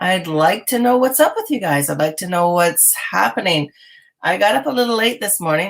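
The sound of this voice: Over a silent background in a very clean recording, a woman does a raspy put-on character voice at a medium pitch, swinging very widely in pitch at a moderate pace.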